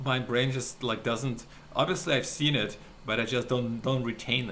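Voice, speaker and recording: A man with a non-native accent speaks at a medium pitch. His intonation is fairly even, and audible room echo surrounds him. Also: moderate pace. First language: not English. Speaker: podcast co-host. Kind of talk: casual chat.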